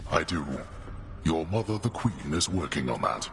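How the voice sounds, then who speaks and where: A man puts on a character voice with a very deep, low pitch, speaking at a moderate pace. Loud background noise runs underneath. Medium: video game. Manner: terse, authoritative.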